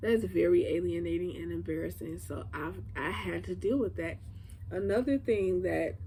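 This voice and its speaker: With an American accent, the speaker talks at a moderate pace amid audible room echo. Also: woman. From Chicago, US Midwest. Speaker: YouTuber. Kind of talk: personal commentary to camera. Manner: casual.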